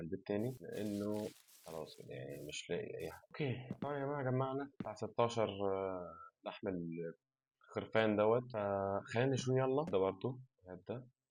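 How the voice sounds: The tone is slightly mellow, with ordinary pitch variation. The pace is fast. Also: man.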